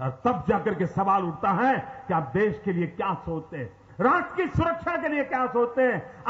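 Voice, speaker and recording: Noticeable background noise runs behind a man with a high pitch. He talks at a moderate pace with very wide pitch swings. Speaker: politician giving a rally speech. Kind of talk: political rally speech to a crowd. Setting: PA system, large outdoor crowd. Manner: forceful, rhetorical, rising intensity.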